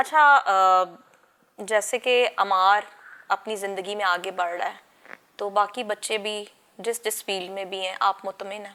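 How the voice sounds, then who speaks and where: A woman at a medium pitch speaks at a very slow pace in a bright, sharp tone, with fairly even intonation and big swings in loudness. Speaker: TV talk show host. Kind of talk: interview.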